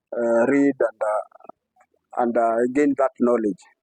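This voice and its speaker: A man with a Kenyan accent and fairly even intonation, in a dry, close sound with no echo. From Kenya, Nairobi. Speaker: community library founder, former addict. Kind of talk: interview answer. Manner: hesitant, many fillers.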